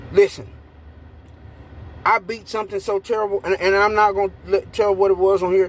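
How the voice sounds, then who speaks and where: Speaking loudly in a high pitch, a man leaves long, frequent pauses. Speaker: YouTube commentator. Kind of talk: ranting commentary. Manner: animated.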